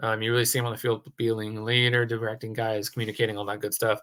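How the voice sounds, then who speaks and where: Speaking at a very fast pace, a man uses a bright, sharp tone at a medium pitch. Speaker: sports video blogger. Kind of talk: solo commentary video. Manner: halting, many fillers.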